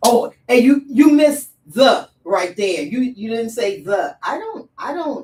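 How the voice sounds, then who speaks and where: With very wide pitch swings and big swings in loudness, a woman speaks at a high pitch. Her pace is very slow, with hardly any pauses. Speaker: radio show host and playwright. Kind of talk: casual interview chat.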